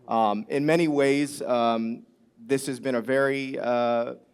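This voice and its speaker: Ordinary variation in pitch, in a normal speaking voice with an American accent. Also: man. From US Midwest, Chicago. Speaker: conference panelist. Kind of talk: panel discussion. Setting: stage with audience.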